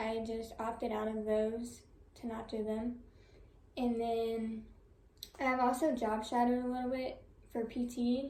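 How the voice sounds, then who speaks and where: Soft-spoken and dark and mellow in tone, a woman speaks at a fairly high pitch with a monotone, flat intonation at a fairly slow pace. Long, frequent pauses break her speech, and audible room echo surrounds it. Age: 20s. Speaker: college student. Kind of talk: class presentation.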